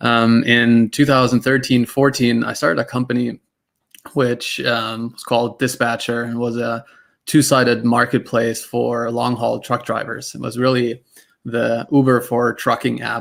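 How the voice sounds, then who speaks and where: This man speaks with a German accent at a medium pitch. His intonation is monotone and flat. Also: fairly slow pace. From Germany. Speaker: tech startup cofounder and CTO. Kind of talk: panel discussion.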